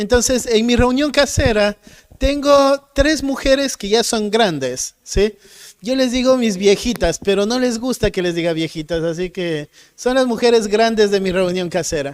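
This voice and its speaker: A man speaks at a fairly slow pace and a high pitch. His intonation is lively. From Ecuador. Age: 30s. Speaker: pastor. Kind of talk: sermon.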